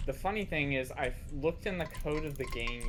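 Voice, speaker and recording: The speech runs at a fairly quick pace with music in the background. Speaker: gamer and game modder on voice call. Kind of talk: casual chat. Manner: halting, stumbles over words.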